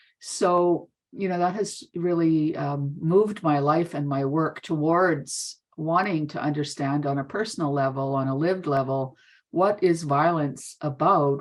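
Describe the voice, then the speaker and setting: With a Canadian accent, a woman speaks in a very deep, low voice, and her pitch varies in an ordinary way. Her pace is fairly slow, with hardly any pauses. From northern Manitoba, Canada. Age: 60s. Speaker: therapist and educator. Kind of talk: conference presentation. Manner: halting.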